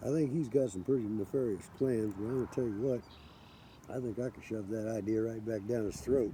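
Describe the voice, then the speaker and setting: In an American accent, a man with an unremarkable speaking voice talks fairly quickly at a medium pitch with fairly even intonation. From US Midwest, Kansas City. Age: 60s. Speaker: forager vlogger. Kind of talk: casual vlog monologue.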